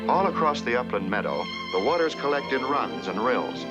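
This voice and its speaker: Very wide pitch swings mark the speech, with music playing in the background. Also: man. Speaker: narrator. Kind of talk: nature documentary narration. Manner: calm, steady, lyrical.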